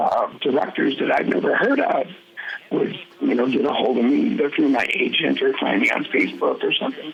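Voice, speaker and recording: A man talks at a fairly quick clip with a Midwestern American accent. His loudness stays very even over noticeable background noise. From Michigan, Farmington area. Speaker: actor. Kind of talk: interview. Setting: podcast.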